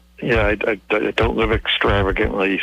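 Noticeable background noise accompanies a man who talks at a fairly quick pace. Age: 60s. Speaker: caller. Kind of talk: phone-in question. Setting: phone call. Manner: halting.

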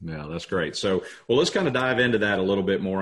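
A man's fairly low-pitched, normal speaking voice with ordinary pitch variation. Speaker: podcast host. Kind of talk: casual interview chat.

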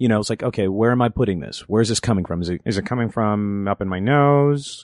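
Speaking at a fairly quick pace with a Californian accent, a man uses a medium pitch and ordinary pitch variation in a dry, close sound with no echo over a quiet background. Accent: General American (Californian). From Los Angeles (Inglewood, North Valley). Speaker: voice actor and improv comedian. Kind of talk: casual chat.

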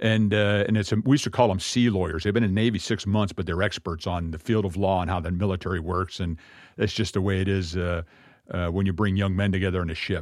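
Very deep and low, a man's voice races at a very fast pace with fairly even intonation. The recording is very clean, with a silent background. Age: 50s. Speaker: messianic congregation leader. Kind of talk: sermon-style talk.

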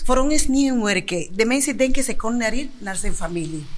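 Delivered at a moderate pace, the speech has audible room echo. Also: woman. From Dominican Republic. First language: Spanish (speaking Dutch). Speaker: kitchen worker. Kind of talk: casual chat.

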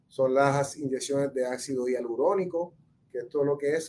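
A man with a dark, mellow tone. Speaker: orthopedic surgeon. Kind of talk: health talk answering viewer questions. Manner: hesitant, many fillers and repetitions.

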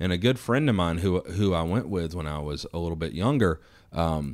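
With a Southern accent, a man speaks in a very deep, low pitch and lively intonation on a very clean recording with a silent background. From US South, Georgia. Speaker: firearms company founder. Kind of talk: casual chat. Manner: animated.

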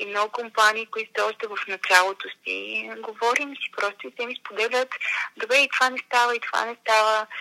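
Her bright, sharp tone sits at a fairly high pitch as the woman speaks at a moderate pace with fairly even intonation and big swings in loudness. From Bulgaria, Montana town. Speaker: business journalist. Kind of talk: interview conversation. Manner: hesitant, with fillers.

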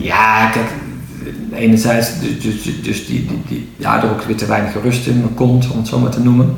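Amid noticeable background noise and audible room echo, a man with a medium pitch talks at a fairly slow pace with fairly even intonation. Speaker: entrepreneur. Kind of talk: interview. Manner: halting.

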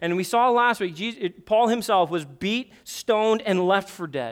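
The speech moves at a moderate pace on a very clean recording with a silent background. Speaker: pastor. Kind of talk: sermon. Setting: church.

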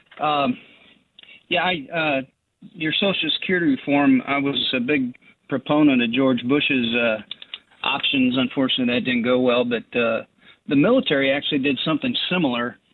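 At a moderate pace, a man with a normal speaking voice talks at a fairly high pitch with ordinary pitch variation. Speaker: caller. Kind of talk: call-in talk radio. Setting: phone call.

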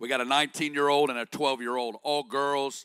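Bright and sharp in tone, the voice carries an Arkansas accent and moves at a fairly quick pace in a monotone, flat intonation, captured in a very clean recording with a silent background and a dry, close sound with no echo. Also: man. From Northwest Arkansas. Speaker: guest preacher. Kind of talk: sermon. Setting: church stage with congregation.

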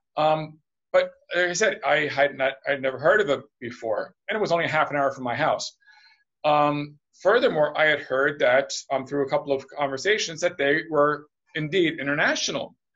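Using an ordinary speaking voice, a man with a fairly high pitch talks at a moderate pace with ordinary pitch variation. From United States, also Puerto Rico, Spain, Portugal. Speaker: international business development executive. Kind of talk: interview.

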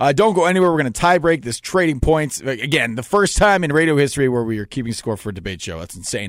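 This man talks very fast in an animated tone, with hardly any pauses, a fairly high pitch and very wide swings in pitch. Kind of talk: radio sports debate show banter. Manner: animated, joking, quick-talking, constantly interrupting and laughing.

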